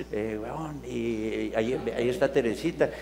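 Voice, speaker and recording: Noticeable background noise runs under the recording. The speaker is a man. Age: 70s. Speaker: theatre person, presenter. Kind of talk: casual chat. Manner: halting.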